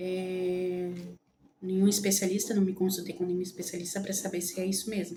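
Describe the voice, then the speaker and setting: A woman's medium-pitched, monotone, flat delivery in audible room echo. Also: moderate pace. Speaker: lifestyle vlogger. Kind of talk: casual vlog talk. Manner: halting, many fillers.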